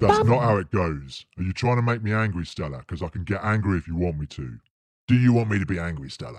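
A very deep, low-pitched man's voice with lively intonation at a very fast pace. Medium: comedy sketch. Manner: menacing, sneering, bossy.

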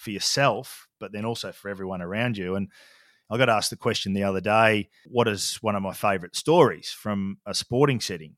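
A man with an Australian accent speaks fairly quickly in a fairly low pitch, with ordinary pitch variation. The very clean recording has a silent background and a dry, close sound with no echo. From Australia, country Victoria. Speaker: leadership and culture consultant. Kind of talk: casual chat.

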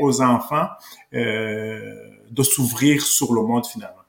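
With ordinary pitch variation, a man speaks very slowly. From Rwanda. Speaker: political columnist. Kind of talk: interview. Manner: halting.

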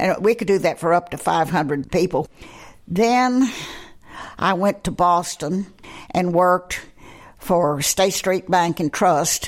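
In a Texan accent, a woman speaks at a very slow pace with long, frequent pauses. Her pitch is fairly low, with ordinary variation. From Texas, Amarillo. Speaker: college alumna. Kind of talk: interview.

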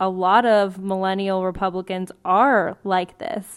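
A woman's fairly slow speech at a medium pitch, a plain, everyday voice against a quiet background. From US, Mexican-American family. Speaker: political candidate. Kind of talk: interview. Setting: at her grandmother's house.

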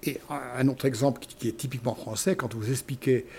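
The voice is somewhat breathy, with a dark, mellow tone and a moderate pace. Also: man. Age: 70s. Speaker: retired engineering school director. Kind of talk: interview.

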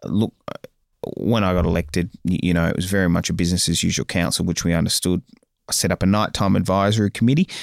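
On a very clean recording with a silent background and a dry, close sound with no echo, a man with an Australian accent and a very deep, low pitch speaks at a very fast pace with fairly even intonation. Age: 30s. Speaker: mayor. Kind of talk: interview. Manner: halting, frequent filler words and repeats.

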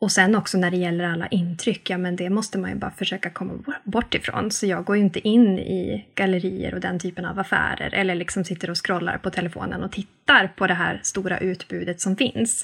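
With vocal fry and fairly even intonation, the voice moves at a fairly quick pace with hardly any pauses. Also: woman, medium pitch for a woman. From northern Sweden (Norrbotten, Arvidsjaur). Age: 30s. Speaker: sustainable-living influencer, mother of three. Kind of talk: interview conversation.

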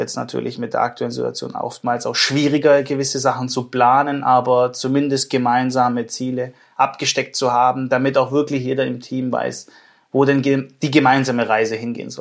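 Over a silent background in a very clean recording, a man of medium pitch speaks at a moderate pace in a monotone, flat intonation. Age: 20s. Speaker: managing director of engineering firm. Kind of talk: interview.

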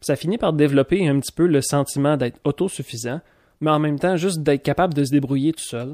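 Speaking very fast in a Quebec accent, a man with a fairly high pitch and a dark, mellow tone shows ordinary pitch variation, recorded very cleanly with a silent background and a dry, close sound with no echo. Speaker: podcast host. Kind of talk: solo monologue podcast.

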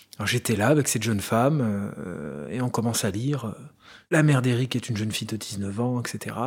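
Moderate in pace, this man speaks with lively intonation. His recording is very clean, with a silent background. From France, Loire (Saint-Étienne area). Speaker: interviewee sharing adoption story. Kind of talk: personal testimony. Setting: at home. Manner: hesitant, with fillers.

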